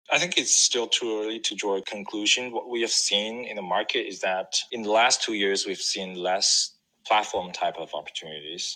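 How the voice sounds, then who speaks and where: This man has a fairly low pitch and speaks at a moderate pace. His pitch varies in an ordinary way, with hardly any pauses. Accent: Chinese. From China. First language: Chinese. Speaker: venture capital investor. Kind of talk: interview. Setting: remote call.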